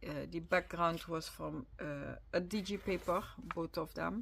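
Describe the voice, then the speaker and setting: A very slow pace in a Dutch accent, on a very clean recording with a silent background. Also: woman. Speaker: crafter, video creator. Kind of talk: casual journal flip-through. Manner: halting, with many fillers.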